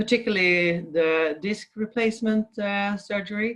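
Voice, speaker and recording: This woman speaks with a Swedish accent at a medium pitch. Her pace is fairly slow, with ordinary pitch variation. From Sweden. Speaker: physiotherapist. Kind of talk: interview. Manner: halting.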